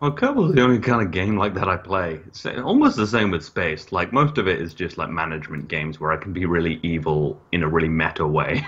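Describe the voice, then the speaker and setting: Fairly quick, nearly pause-free speech from a man with a very deep, low pitch and lively intonation over noticeable background noise. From West Midlands, England (Birmingham family). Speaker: gaming streamer. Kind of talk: casual chat.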